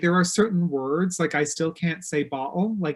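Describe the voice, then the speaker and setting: The background is quiet. The speaker has a slight East Coast Canadian accent. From Newfoundland, Canada. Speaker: interior designer, TV personality. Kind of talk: casual chat.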